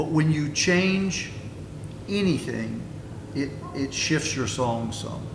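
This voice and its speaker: A man at a fairly high pitch and a very slow pace, with long, frequent pauses, audible room echo and noticeable background noise. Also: ordinary pitch variation. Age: 70s. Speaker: songwriter and folk musician. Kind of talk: panel talk at a festival session. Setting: festival info session with audience.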